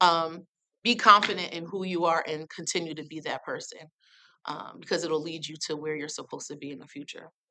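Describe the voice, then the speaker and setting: A woman with an American accent talks loudly at a fairly quick pace. Her fairly low voice has a bright, sharp tone. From US Northeast, New Haven, Connecticut. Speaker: nonprofit arts program director. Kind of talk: panel talk. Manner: animated.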